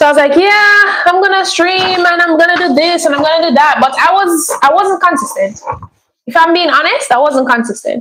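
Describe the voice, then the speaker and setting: A woman projects a raised voice with a bright, sharp tone. She moves at a fairly quick pace with very wide pitch swings. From Jamaica. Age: 20s. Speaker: livestreamer. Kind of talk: casual livestream chat. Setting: livestream with low-fi music.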